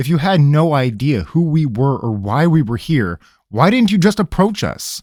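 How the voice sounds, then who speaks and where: A man puts on a gruff character voice with a fairly high pitch at a moderate pace, in a very clean recording with a silent background. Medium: read story. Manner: gruff, demanding.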